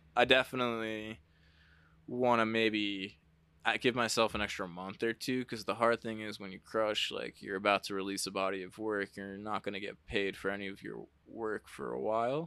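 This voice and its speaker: In a very clean recording with a silent background, a man with an American accent speaks at a moderate pace in a fairly low pitch, with a bright, sharp tone, fairly even intonation and big swings in loudness. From New Jersey (Jersey Shore). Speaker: glass artist. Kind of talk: casual chat.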